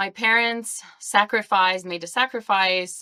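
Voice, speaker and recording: A woman speaks with an Albanian accent. The sound is dry and close with no echo, in a very clean recording with a silent background. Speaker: podcast guest. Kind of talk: interview.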